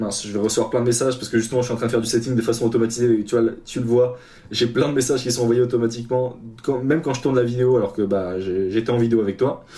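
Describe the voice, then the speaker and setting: At a very fast pace, a man talks in a medium-pitched voice with a dark, mellow tone and fairly even intonation. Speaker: freelance developer and coach. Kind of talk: tutorial. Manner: casual, hesitant with fillers.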